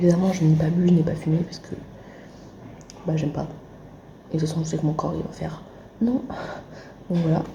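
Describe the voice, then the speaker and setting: A woman speaks quietly at a fairly low pitch, her intonation fairly even. There is audible room echo and noticeable background noise. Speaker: vlogger, audiovisual student. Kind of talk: casual vlog.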